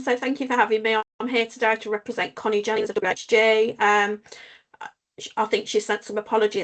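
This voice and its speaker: Her intonation is monotone and flat. The woman's pitch is fairly high. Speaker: housing association community engagement lead. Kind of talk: formal meeting.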